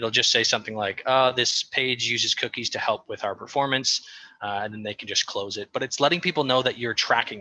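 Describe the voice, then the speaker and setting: At a very fast pace, a man speaks at a medium pitch with ordinary pitch variation and a bright, sharp tone, the sound dry and close with no echo. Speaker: marketing consultant presenter. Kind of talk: workshop presentation. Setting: workshop with audience.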